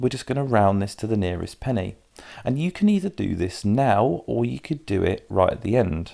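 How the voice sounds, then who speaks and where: With a British accent, this speaker has a dark, mellow tone and lively intonation on a very clean recording with a silent background. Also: man. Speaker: maths tutor. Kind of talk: tutorial. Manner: fast.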